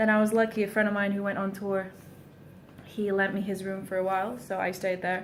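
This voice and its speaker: At a fairly quick pace, a woman speaks at a medium pitch. Her intonation is monotone and flat, with audible room echo. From Portugal. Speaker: singer-songwriter. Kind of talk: casual vlog monologue. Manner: frequent ums, hesitant.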